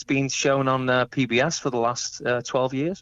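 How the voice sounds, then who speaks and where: A man speaks with a Liverpool accent. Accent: Liverpool (Scouse). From England, Liverpool (Crosby). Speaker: tribute band musician. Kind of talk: phone interview. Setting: phone call.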